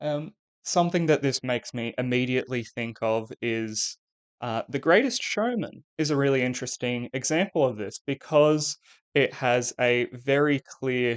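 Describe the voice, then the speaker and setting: In an Australian accent, a man speaks at a moderate pace with ordinary pitch variation and a medium pitch. The sound is dry and close with no echo, against a quiet background. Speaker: English teacher. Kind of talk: lecture. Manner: hesitant, many fillers.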